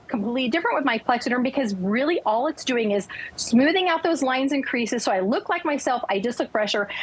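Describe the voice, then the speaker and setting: An upbeat, enthusiastic woman's voice, high-pitched and very fast, with very wide pitch swings over noticeable background noise. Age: 60s. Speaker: lifestyle consultant promoting a skincare product. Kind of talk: sales pitch on TV morning show.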